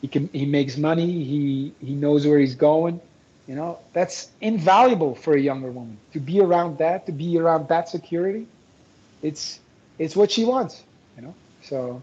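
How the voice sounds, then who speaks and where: A dark, mellow tone at a moderate pace, with ordinary pitch variation and big swings in loudness. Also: man, fairly high pitch for a man. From Belgium. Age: 40s. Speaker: dating coach. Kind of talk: interview. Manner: repetitive, halting restarts.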